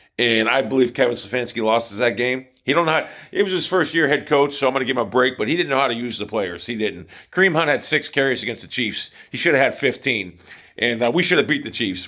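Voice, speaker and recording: A man at a very fast pace over a quiet background. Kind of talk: casual vlog chat. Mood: opinionated, animated rant. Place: home room. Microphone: phone near.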